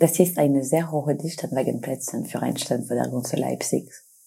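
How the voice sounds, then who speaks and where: A woman with a French accent speaks at a fairly slow pace in a very deep, low, somewhat breathy voice with a dark, mellow tone and ordinary pitch variation. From France. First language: French (speaking German). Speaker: podcast host and student researcher. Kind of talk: scripted narration.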